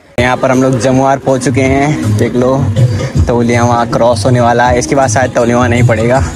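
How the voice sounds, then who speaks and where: Clear music plays behind a man talking at a fairly slow pace, the sound dry with no echo. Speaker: vlogger. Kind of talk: casual vlog chat. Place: bicycle. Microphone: phone near.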